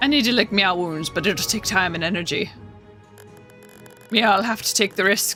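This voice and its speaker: A put-on character voice at a middle pitch moves at a moderate pace with long, frequent pauses. Clear music plays in the background. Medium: game stream.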